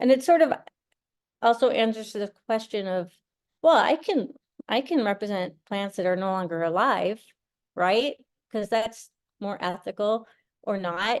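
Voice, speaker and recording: A woman with an American accent, fairly high-pitched and lively in intonation, at a moderate pace with long, frequent pauses. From rural northern Minnesota. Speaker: artist and professor. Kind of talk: artist talk.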